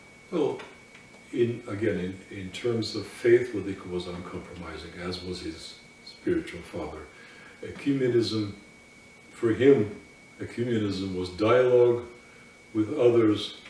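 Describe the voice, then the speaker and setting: A man's voice at a fairly slow pace, with long, frequent pauses, audible room echo and noticeable background noise. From Russian émigré community. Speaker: Orthodox priest. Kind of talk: interview. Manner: halting.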